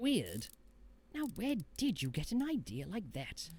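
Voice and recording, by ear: Putting on a cartoonish character voice, a man with a high pitch speaks at a fairly slow pace with very wide pitch swings.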